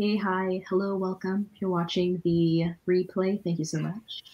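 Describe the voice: The voice is quiet, with a dark, mellow tone, a slightly husky edge and little pitch movement. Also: woman.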